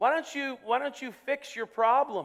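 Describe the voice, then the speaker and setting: This man's voice sits at an extremely high pitch. He talks at a moderate pace. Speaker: pastor. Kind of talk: sermon. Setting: church.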